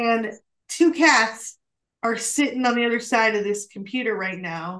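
A woman speaks at a fairly slow pace. Her pitch is fairly high and varies in an ordinary way. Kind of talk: teaching talk on a call. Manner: serious.

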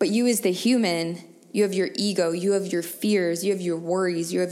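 A woman's plain, everyday voice, medium in pitch and fairly even in intonation, at a moderate pace. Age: 30s. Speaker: spiritual wellness podcast host. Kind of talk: solo monologue, personal reflection.

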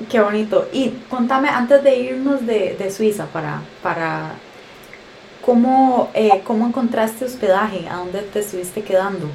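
Over noticeable background noise, a woman with a fairly high voice speaks at a fairly slow pace with ordinary pitch variation. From Costa Rica. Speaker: podcast host, travel deals site co-founder. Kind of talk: casual interview.

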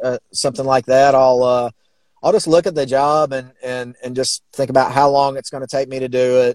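The sound is dry and close, with no echo. A man speaks in a Southern US accent. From Alabama, US South. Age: 40s. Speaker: sign and mural painter. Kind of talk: casual interview chat.

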